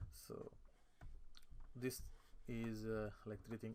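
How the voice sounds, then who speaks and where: This man has a non-native accent. He talks at a fairly slow pace with fairly even intonation. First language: not English. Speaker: AutoCAD instructor. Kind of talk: tutorial. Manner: halting, many fillers and self-corrections.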